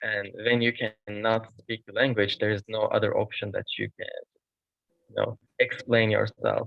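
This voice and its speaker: The speaker has a Turkish accent. The pace is moderate. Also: man. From Turkey. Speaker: international student. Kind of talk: panel discussion.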